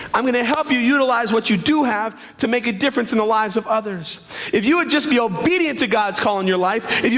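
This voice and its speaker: A man talks in an extremely high pitch, with an animated tone and lively intonation. The room echo is audible, and there is noticeable background noise. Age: 30s. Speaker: pastor. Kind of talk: sermon.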